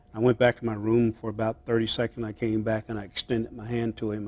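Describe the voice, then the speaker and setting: A man's voice at medium pitch and a fairly quick pace. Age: 60s. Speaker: politician. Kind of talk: interview. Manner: halting, many fillers.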